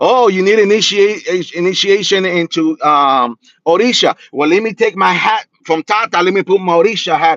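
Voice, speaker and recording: An animated, high-pitched man's voice at a moderate pace, in a dry, close sound with no echo. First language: Spanish. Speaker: spiritual practitioner and reader. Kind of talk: livestream talk.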